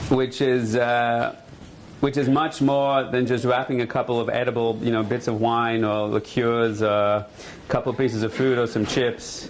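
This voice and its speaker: A man speaks at medium pitch and a moderate pace, with monotone, flat intonation and very even loudness. Room echo is audible. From Australia. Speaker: rabbi. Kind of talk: lecture. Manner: casual, humorous.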